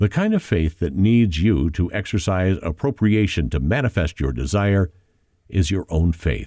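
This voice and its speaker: The man's voice is very deep and low, with a dark, mellow tone and vocal fry, at a fairly slow pace. The sound is dry and close with no echo, on a very clean recording with a silent background. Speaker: audiobook narrator. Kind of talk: audiobook narration of a spiritual nonfiction book.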